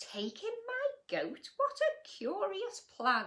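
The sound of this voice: In a put-on character voice, a woman speaks slowly at an extremely high pitch with a bright, sharp tone. Her pitch swings very widely, and room echo is audible.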